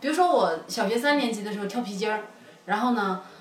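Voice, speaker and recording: With music in the background and audible room echo, a woman speaks using lively intonation. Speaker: podcast guest. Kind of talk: casual chat. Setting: cafe.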